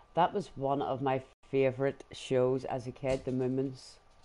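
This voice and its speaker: In a Northern Irish accent, a man speaks at a fairly slow pace with a medium pitch, a dark, mellow tone and monotone, flat intonation. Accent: Northern Irish, muted. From Northern Ireland, Belfast. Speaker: gaming live streamer. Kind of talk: live gameplay stream chat. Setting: at home on sofa with dog.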